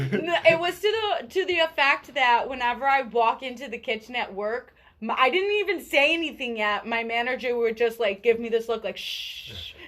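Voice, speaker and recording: Loud and high-pitched, a woman speaks at a moderate pace with lively intonation. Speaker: radio podcast co-host. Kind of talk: casual chat.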